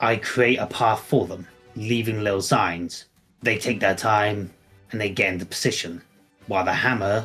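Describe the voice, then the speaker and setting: A man's put-on character voice, fairly low in pitch, at a moderate pace, with faint music in the background. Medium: actual play.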